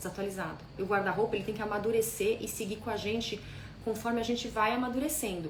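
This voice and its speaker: A woman with a fairly high pitch talks at a very fast pace, with audible room echo and noticeable background noise. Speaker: style consultant. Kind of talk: live stream talk.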